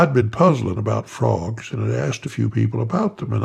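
Lively intonation over plain reading aloud

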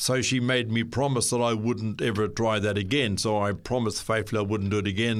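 In a Southland New Zealand accent, a man talks with fairly even intonation. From New Zealand, Southland. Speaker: guest sharing faith story. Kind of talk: testimony. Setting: studio. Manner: halting.

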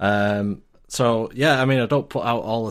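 With a Lancashire accent, a man speaks at a fairly slow pace and a medium pitch. His intonation is fairly even, and the recording is very clean with a silent background. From Lancashire, northern England. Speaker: IT support worker. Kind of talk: casual chat. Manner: halting, many fillers.

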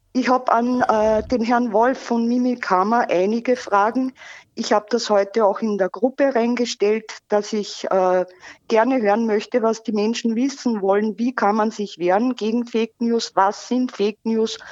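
A woman with a normal speaking voice talks at a fairly slow pace in a fairly high pitch, with ordinary pitch variation. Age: 40s. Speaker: caller, volunteer fake-news debunker. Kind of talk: phone interview. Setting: phone call.

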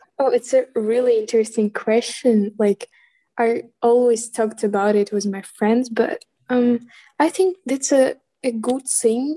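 A woman with a Ukrainian accent, fairly high in pitch, dark and mellow in tone, at a fairly slow pace with ordinary pitch variation, in a dry, close sound with no echo. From Ukraine. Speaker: student. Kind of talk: interview. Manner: halting.

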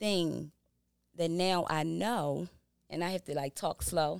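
Very slowly, a woman with an American accent speaks with fairly even intonation. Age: 40s. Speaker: behavioral health business owner and correctional officer. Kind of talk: casual interview chat.

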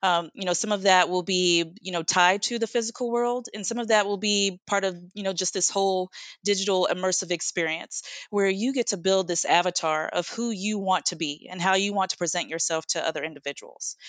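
Against a quiet background, a woman with an American accent uses a normal speaking voice at medium pitch, moving at a fairly quick pace with hardly any pauses, in a dry, close sound with no echo. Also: ordinary pitch variation. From United States. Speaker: product manager in tech. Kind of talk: casual interview.

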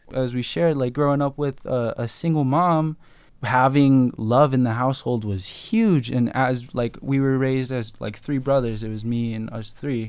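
In a plain, everyday voice with an American accent, a man speaks at medium pitch and a moderate pace with ordinary pitch variation, on a very clean recording with a silent background. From Tucson, Arizona, US Southwest. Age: young, 18. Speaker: rapper. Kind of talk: casual chat. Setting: studio.

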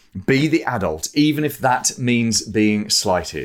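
A man with a British accent at a fairly slow pace, on a very clean recording with a silent background. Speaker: podcast host. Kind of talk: podcast interview and intro.

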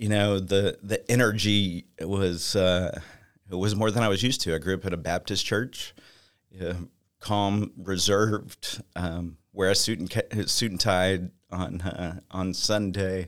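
The recording is very clean with a silent background as a man with a Texan accent speaks at a fairly low pitch with fairly even intonation. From Texas. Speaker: church member, accountant. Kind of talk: testimony. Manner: halting.

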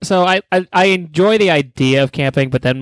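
A man speaks with lively intonation. The sound is dry and close with no echo. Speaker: podcast co-host. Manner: loud, crude, combative.

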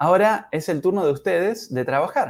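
A man with a normal speaking voice talks fairly slowly with lively intonation on a very clean recording with a silent background. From Uruguay. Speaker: English teacher. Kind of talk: language lesson. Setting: live stream.

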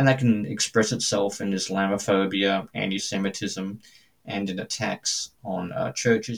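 A man with an Australian accent talks at a fairly low pitch. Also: ordinary pitch variation, moderate pace. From Australia, suburban Brisbane. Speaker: Anglican priest and theologian. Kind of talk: interview testimony.

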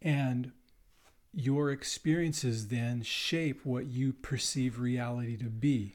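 A man's very slow speech with fairly even intonation. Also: medium pitch for a man. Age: 60s. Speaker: teacher and band director. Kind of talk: casual chat.

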